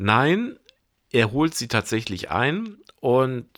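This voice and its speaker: A man at a very slow pace on a very clean recording with a silent background. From Bremen, northern Germany. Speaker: film curator and film journalist. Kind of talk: casual film discussion podcast.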